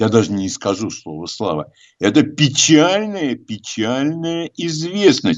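At a fairly slow pace, a man speaks at medium pitch with big pitch swings.

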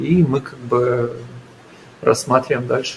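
A man speaks at a fairly slow pace with ordinary pitch variation. Background noise is noticeable. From Ukraine. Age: 20s. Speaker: entrepreneur. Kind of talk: radio interview.

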